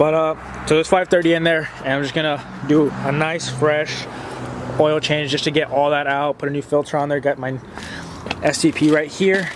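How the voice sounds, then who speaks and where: Noticeable background noise is present. A man speaks over it fairly quickly. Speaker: car enthusiast YouTuber. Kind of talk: casual garage vlog tutorial. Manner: hurried; halting, self-correcting.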